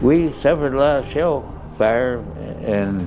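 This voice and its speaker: Music in the background behind a man with an American accent. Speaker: war veteran. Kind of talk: interview answer.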